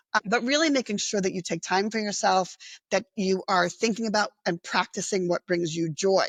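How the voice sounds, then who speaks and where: A woman talks at a moderate pace with ordinary pitch variation and very even loudness. Hers is a plain, everyday voice. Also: medium pitch for a woman. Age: 60s. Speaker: nonprofit executive director and social worker. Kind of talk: interview. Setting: podcast interview.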